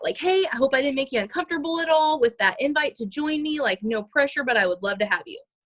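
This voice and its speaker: Heard dry and close with no echo, a woman speaks with lively intonation. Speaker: fitness coach team leader. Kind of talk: team training call. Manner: fast.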